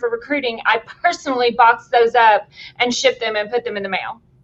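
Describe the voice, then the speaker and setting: Speaking at a very fast pace in a Tennessee accent, a woman uses a high pitch and an animated tone. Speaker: company executive. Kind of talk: casual interview chat.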